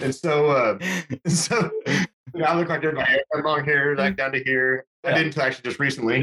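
This man has a plain, everyday voice, fairly high in pitch, with ordinary pitch variation, a moderate pace, and a dry, close sound with no echo. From Texas Panhandle (Amarillo) and New Mexico. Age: 40s. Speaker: hunting and fly fishing guide. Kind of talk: casual chat.

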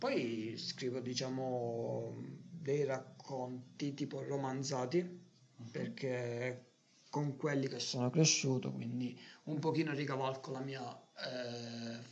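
Fairly even intonation at a very slow pace, with audible room echo. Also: man, medium pitch for a man. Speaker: podcast co-host. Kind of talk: casual chat. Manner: trying to speak louder.

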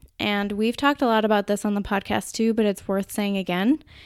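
A woman with a Minnesotan accent and fairly even intonation, in a very clean recording over a silent background. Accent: Minnesota. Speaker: podcast host. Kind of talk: solo podcast talk. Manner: casual, conversational.

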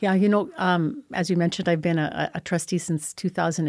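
A woman's fairly low voice with a Canadian prairie accent, fairly even intonation and a fairly quick pace, on a very clean recording with a silent background. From Saskatchewan, Canada (small town). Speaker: school board trustee. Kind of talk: interview. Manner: halting, many repetitions.

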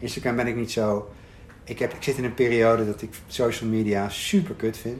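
A man at a medium pitch, speaking at a moderate pace. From Netherlands, Arnhem. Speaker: coach and writer. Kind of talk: casual chat. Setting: rooftop in Amsterdam.

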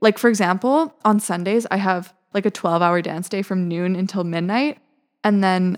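With a Western Canadian accent, a woman talks at a fairly quick pace. Her pitch is medium. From Vancouver, British Columbia, Canada. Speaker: university student. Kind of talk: casual interview.

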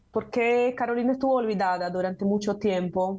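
This woman speaks with a Portuguese accent. Her pace is moderate and her intonation fairly even. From Brazil. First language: Portuguese (speaking Spanish). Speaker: university professor and translator. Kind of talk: interview conversation.

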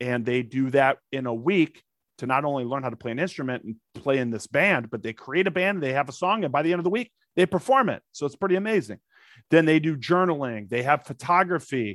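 With an American accent, a man speaks at a fairly quick pace in an unremarkable speaking voice, fairly high in pitch, with lively intonation. The recording is very clean and dry, close and echo-free, with a silent background. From St. Louis, Missouri, with Texas summers. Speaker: actor, comedian and Air Force veteran. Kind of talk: casual interview chat.

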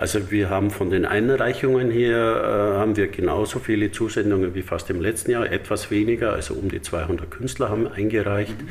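Over noticeable background noise and audible room echo, a man with a fairly low pitch and ordinary pitch variation talks at a moderate pace with hardly any pauses. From Bavaria, Dachau. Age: 60s. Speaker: artist and association chairman. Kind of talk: interview. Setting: library in exhibition hall.

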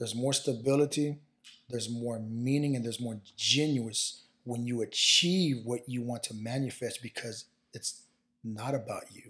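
A man talks at a moderate pace in a medium pitch with fairly even intonation. His is an unremarkable speaking voice. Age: 30s. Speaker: football strength and conditioning coach. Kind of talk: casual chat.

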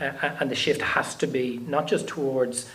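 Amid noticeable background noise, a man with an Irish accent speaks in a medium pitch with monotone, flat intonation. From Ireland. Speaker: politician and housing spokesperson. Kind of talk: panel discussion. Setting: stage with audience.

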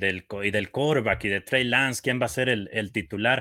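Here a man talks at a moderate pace with ordinary pitch variation and a bright, sharp tone. The recording is very clean, the background silent. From Mexico, Michoacán. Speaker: play-by-play football announcer. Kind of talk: casual sports talk show.

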